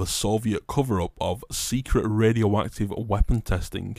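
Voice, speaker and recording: In an ordinary speaking voice, a man talks at a fairly low pitch with fairly even intonation, on a very clean recording with a silent background. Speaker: podcast host. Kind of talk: true-crime narration. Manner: measured, ominous storytelling delivery.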